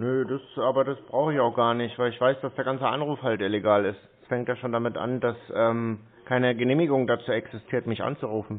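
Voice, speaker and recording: Delivered in an ordinary speaking voice, a man's speech is medium in pitch, fairly even in intonation and fairly quick in pace. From Germany. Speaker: scam-baiter. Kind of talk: phone conversation. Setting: phone call. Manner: sarcastic.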